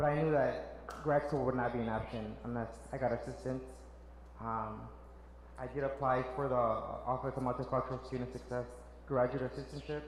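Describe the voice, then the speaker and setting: A man with a Spanish accent at a fairly quick pace, amid noticeable background noise and audible room echo. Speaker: social worker. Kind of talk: panel talk. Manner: halting.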